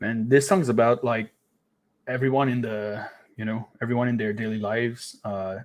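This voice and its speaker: In a very clean recording with a silent background, a man with a Quebec accent speaks at medium pitch and a moderate pace with fairly even intonation. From Quebec, Canada. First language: French. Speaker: band lead vocalist. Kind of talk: casual interview.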